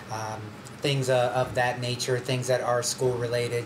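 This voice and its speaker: A man talks in a flat monotone while music plays in the background. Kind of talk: school announcement. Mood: friendly but firm. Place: studio.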